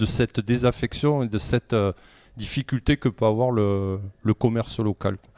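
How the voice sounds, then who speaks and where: A dark, mellow tone comes from a man, recorded with a dry, close sound and no echo. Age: 60s. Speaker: local election candidate. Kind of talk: political interview. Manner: halting, many hesitations.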